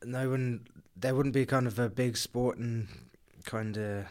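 With a southern English accent, the speaker keeps a monotone, flat intonation at a moderate pace on a very clean recording with a silent background. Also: man. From southern England, Kent. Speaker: professional rugby player. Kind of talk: interview.

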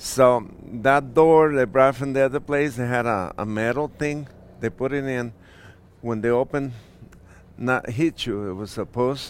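A man with a Mexican accent speaks at a medium pitch. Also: ordinary pitch variation, moderate pace. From Michoacán, Mexico. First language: Spanish. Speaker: restaurant owner. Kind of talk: casual interview. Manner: halting; soft-spoken.

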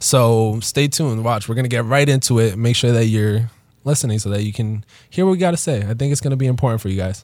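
Talking very fast, a man holds a medium pitch. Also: ordinary pitch variation. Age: 20s. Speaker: podcast co-host, entrepreneur. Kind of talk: casual chat. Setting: studio.

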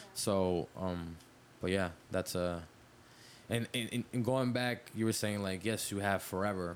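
Fairly low in pitch, a man talks at a fairly slow pace with very even loudness. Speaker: podcast co-host. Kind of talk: casual chat. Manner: animated.

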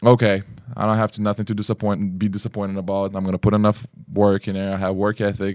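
With a Lithuanian accent, a man speaks at a very fast pace and fairly low pitch, monotone and flat, in a dry, close sound with no echo. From Lithuania, Kaunas. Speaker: basketball player. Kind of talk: interview. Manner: halting.

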